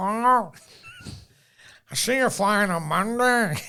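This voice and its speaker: A woman speaks in a put-on character voice at a medium pitch and a fairly slow pace. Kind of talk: polite, businesslike.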